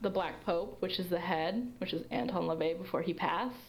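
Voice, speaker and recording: A woman speaks at a moderate pace with ordinary pitch variation. Audible room echo surrounds her voice. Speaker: history student presenting research. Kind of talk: Q&A after a presentation. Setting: livestream.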